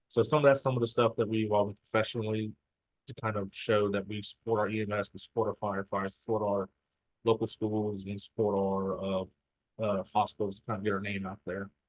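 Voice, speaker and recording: Speech comes very fast in a Southern US accent, with monotone, flat intonation. The sound is dry and close, with no echo. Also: man, fairly low pitch for a man. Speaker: state emergency medical services program staff. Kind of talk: presentation. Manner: halting, many fillers.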